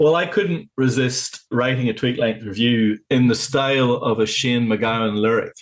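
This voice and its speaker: With a Northern Irish accent, a man speaks at a moderate pace with ordinary pitch variation and very even loudness. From Northern Ireland, County Tyrone. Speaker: vinyl club organiser, podcast guest. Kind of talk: casual chat.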